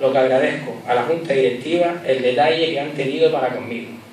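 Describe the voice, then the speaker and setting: A man's fairly high voice at a fairly quick pace, fairly even in intonation, with audible room echo and light background noise. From Gran Canaria, Canary Islands. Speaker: festival proclaimer and town councillor. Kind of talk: festival proclamation speech, formal opening then nostalgic, warm and humorous. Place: hall. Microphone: podium.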